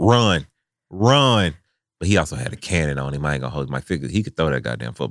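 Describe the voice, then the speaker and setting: A very fast male voice, very deep and low, with vocal fry and lively intonation. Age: 30s. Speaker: podcast host. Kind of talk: casual chat. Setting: studio.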